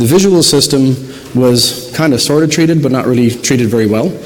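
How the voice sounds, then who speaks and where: A soft-spoken man talks with an Irish accent at medium pitch and with ordinary pitch variation. Audible room echo and noticeable background noise surround him. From southern Ireland. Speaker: optometrist and researcher. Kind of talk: conference lecture. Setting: stage with audience, PA system. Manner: fast. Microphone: too quiet at first, volume adjusted.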